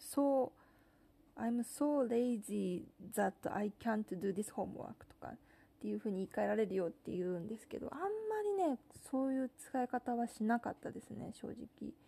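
A woman with a fairly high pitch and a dark, mellow, relaxed tone speaks at a moderate pace with ordinary pitch variation. Her loudness swings widely, with long, frequent pauses. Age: 30s. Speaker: podcast host. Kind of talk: casual monologue. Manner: relaxed, with many fillers.

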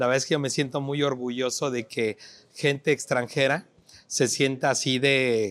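With an ordinary speaking voice, a man talks at a medium pitch and a fairly slow pace in a very clean recording with a silent background. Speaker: TV business show host. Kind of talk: TV interview show. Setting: on location in a restaurant plaza.

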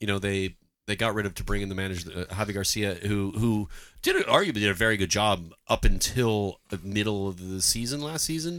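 A man with a plain, everyday voice and fairly low pitch speaks at a fairly quick pace. The recording is very clean, with a silent background. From Canada. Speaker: soccer podcast host. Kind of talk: casual chat.

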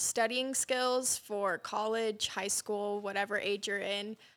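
A woman's fairly high voice with an American accent, flat and monotone, at a very slow pace, on a very clean recording with a silent background. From Sheridan area, Wyoming / southern Montana ranch. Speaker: rodeo queen and student. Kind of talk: interview.

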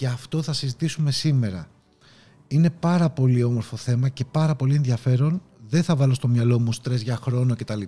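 At a moderate pace, a man with a medium pitch and a dark, mellow tone sounds somewhat breathy, with ordinary pitch variation. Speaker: podcast host and leadership coach. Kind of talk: motivational talk. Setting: video recording. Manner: animated.

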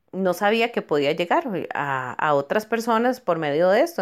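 A woman at medium pitch with very wide pitch swings and a fairly slow pace, on a very clean recording with a silent background. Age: 40s. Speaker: dental technician and small food business owner. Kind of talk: testimony. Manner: halting, many fillers and repetitions.

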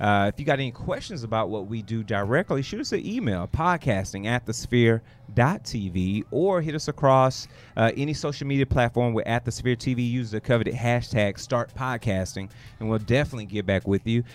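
A man with an American accent and a medium pitch, a plain, everyday voice, ordinary pitch variation, and a fairly quick pace. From Houston, Texas. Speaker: podcaster. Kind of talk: casual interview chat.

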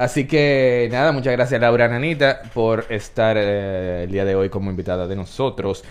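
Speaking with a Dominican accent, a man keeps a moderate pace and medium pitch with ordinary pitch variation and hardly any pauses. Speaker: podcast host. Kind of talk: casual chat.

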